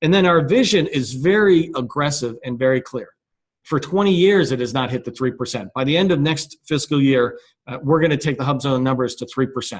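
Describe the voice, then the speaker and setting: Fairly quick, fairly high speech from a man, with ordinary pitch variation. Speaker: business chamber founder presenting a webinar. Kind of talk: webinar presentation. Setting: conference call webinar. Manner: fast.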